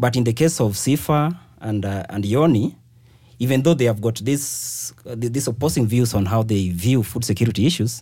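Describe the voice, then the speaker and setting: A man with a medium pitch and ordinary pitch variation speaks in a somewhat breathy, dark, mellow tone. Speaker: journalist. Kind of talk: casual chat.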